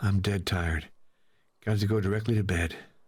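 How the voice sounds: A raspy put-on character voice from a man, fairly low in pitch, fairly quick, with fairly even intonation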